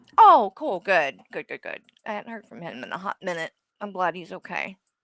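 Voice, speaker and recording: A woman with an unremarkable speaking voice talks at a moderate pace in a medium pitch, using lively intonation and big swings in loudness, in a very clean recording with a silent background and a dry, close sound with no echo. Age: 40s. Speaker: streamer. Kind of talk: casual chat.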